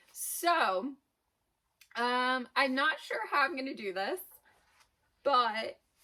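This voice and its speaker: With a raised, projected voice and a bright, sharp tone, a woman at a high pitch speaks at a very slow pace, using lively intonation and long, frequent pauses. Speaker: small business owner, vlogger. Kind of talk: casual vlog. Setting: unfinished basement.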